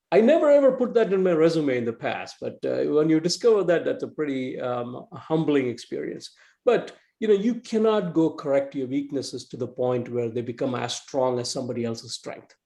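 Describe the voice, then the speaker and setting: Fairly high in pitch, a man with an Indian accent talks at a fairly quick pace. His dark, mellow tone moves in very wide pitch swings. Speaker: entrepreneur and marketing executive. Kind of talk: club talk. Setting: club meeting, in person and video call. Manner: fast; halting.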